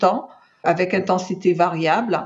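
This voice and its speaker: A woman's voice at a medium pitch. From Martinique. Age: 60s. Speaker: cancer survivor. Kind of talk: testimony. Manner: hesitant, many fillers.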